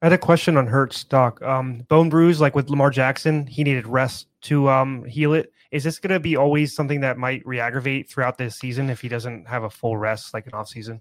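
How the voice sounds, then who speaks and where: A man with a plain, everyday voice talks at a fairly quick pace and medium pitch, with fairly even intonation, big swings in loudness and hardly any pauses, in a dry, close sound with no echo on a very clean recording with a silent background. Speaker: podcast co-host and betting analyst. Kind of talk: casual sports chat.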